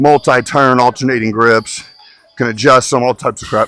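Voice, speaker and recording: A man speaks loudly at a fairly quick pace, in a medium pitch with a bright, sharp tone. The sound is dry and close, with no echo. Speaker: bodybuilder and fitness coach. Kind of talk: casual vlog talk during a gym workout. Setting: gym.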